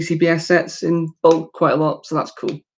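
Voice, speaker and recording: She is a woman speaking with a British accent. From United Kingdom. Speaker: YouTuber building toy sets. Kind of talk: casual live-stream chat. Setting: live stream. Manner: casual, many filler words.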